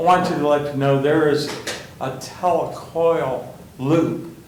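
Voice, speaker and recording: A man with a fairly high pitch speaks in a monotone, flat way, with audible room echo and noticeable background noise. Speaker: resident speaking at public comment. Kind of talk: public comment. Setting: city hall council chamber. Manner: loud.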